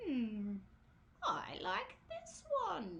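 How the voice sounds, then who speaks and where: A put-on character voice, female-sounding, with a fairly high pitch for a woman. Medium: read story. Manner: mild, hesitant.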